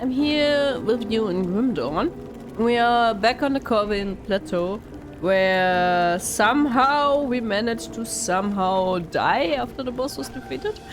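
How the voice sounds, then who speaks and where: Music plays in the background and the room echoes audibly as a woman with a German accent speaks at a fairly slow pace, her pitch fairly high and her intonation lively. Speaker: gaming YouTuber. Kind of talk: let's play commentary. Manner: casual, hesitant with fillers.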